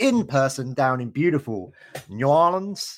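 On a very clean recording with a silent background, a man with a British accent speaks with lively intonation. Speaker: podcast host. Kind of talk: podcast interview.

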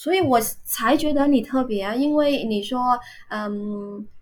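A somewhat breathy woman with a Vietnamese accent and ordinary pitch variation. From Vietnam, Ho Chi Minh City. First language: Vietnamese (speaking Chinese). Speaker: university Chinese teacher. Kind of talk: casual interview chat. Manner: hesitant, many filler sounds.

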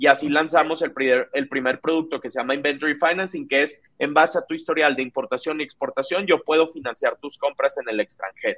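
In an unremarkable speaking voice, a man talks fairly quickly at a fairly high pitch with ordinary pitch variation and hardly any pauses, the sound dry and close with no echo. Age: 20s. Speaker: startup founder and CEO. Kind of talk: interview.

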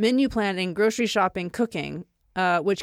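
A woman talks at a fairly quick pace in a normal speaking voice with ordinary pitch variation, her sound dry and close with no echo in a very clean recording against a silent background. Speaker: podcast host. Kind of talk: casual chat. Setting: home podcast studio.

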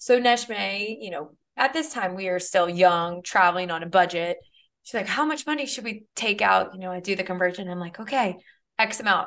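An unremarkable speaking voice with an American accent moves at a moderate pace with lively intonation. Loudness swings widely against a quiet background. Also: woman, medium pitch for a woman. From US South, South Louisiana (New Orleans area). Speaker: podcast co-host. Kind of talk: casual chat.

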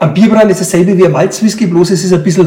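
At a very fast pace, a man with a strong Franconian accent speaks in a high voice with fairly even intonation, against noticeable background noise. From Franconian Switzerland, Upper Franconia. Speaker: brewer, brewery owner. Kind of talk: interview.

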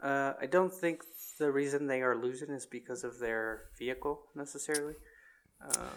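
A normal speaking voice from a man, fairly high in pitch, at a moderate pace with fairly even intonation. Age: 20s. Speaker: motorsport podcast co-host. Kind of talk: casual chat.

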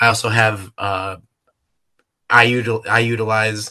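A man speaks at a fairly slow pace in a bright, sharp tone against a quiet background. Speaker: podcast co-host, dairy goat breeder. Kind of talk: casual chat. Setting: recording standing in his kitchen. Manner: jokey, animated.

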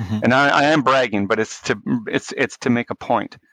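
In a Canadian accent, a man speaks with a plain, everyday voice at medium pitch and ordinary pitch variation. The sound is dry and close with no echo over a quiet background. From Canada, Winnipeg, Manitoba. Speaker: neonatal intensive care physician. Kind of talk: podcast interview.

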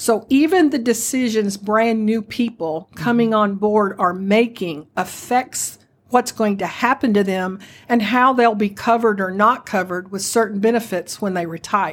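A woman speaks in a plain, everyday voice at a moderate pace. Her pitch is fairly high, with ordinary variation. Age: 60s. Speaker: retirement benefits advisor, retired postal manager. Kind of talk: podcast interview.

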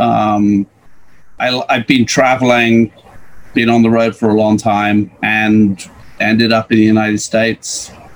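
A man's medium-pitched voice, flat and monotone, with very even loudness over noticeable background noise. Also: fairly slow pace. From Birmingham, England. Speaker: podcast guest. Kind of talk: casual interview chat.

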